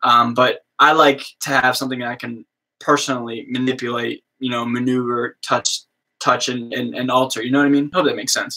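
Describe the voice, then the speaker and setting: A man's medium-pitched voice with a bright, sharp tone, monotone, flat intonation and an American accent. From US East Coast. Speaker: musician and streamer. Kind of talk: casual live stream chat. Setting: live stream. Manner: halting, filler-heavy.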